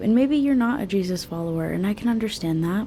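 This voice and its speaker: A woman is whispering. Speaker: beauty vlogger. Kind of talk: casual chat. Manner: soft-spoken.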